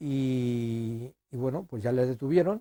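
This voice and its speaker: A man with a dark, mellow tone and medium pitch is heard in a dry, close sound with no echo. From Spain, Guadalajara province (Salmerón). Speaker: son of executed civil war victim. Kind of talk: interview testimony. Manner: halting, with repetitions.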